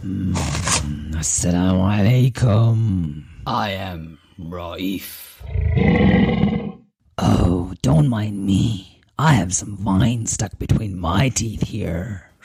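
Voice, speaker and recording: A man uses a put-on character voice with a very deep, low pitch. He speaks at a very slow pace with long, frequent pauses. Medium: read story.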